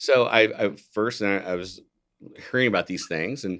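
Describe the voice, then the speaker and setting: At a moderate pace, a man with an American accent talks at a fairly low pitch with ordinary pitch variation. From US Midwest, central Ohio. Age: 60s. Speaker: physician. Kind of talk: podcast interview. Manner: hesitant, with fillers and restarts.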